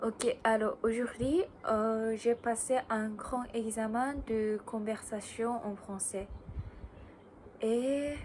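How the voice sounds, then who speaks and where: A woman's fairly high voice at a very slow pace, with fairly even intonation and long, frequent pauses. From Japan. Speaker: student. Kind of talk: casual talk to camera. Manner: hesitant, many fillers.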